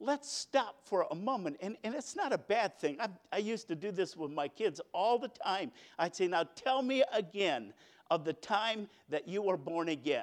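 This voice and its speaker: High-pitched for a man, this speaker uses lively intonation. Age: 50s. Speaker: preacher. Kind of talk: sermon.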